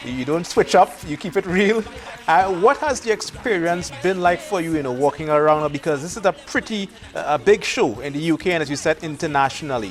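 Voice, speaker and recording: With music in the background, a man talks at a fairly quick pace and a fairly high pitch, using ordinary pitch variation. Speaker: TV host. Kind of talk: TV interview.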